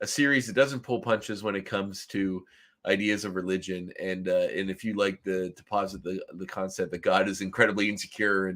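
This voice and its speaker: In a very clean recording with a silent background, a man with a Canadian East Coast accent speaks at a fairly quick pace in a fairly low voice, with fairly even intonation and big swings in loudness. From Nova Scotia, Canada. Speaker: podcast co-host. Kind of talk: casual chat.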